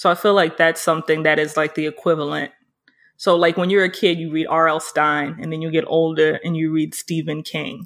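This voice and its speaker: With a New York accent, a woman talks at a fairly quick pace in a very deep, low pitch with monotone, flat intonation. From New York City, Harlem. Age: 30s. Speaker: photographer. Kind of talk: casual chat.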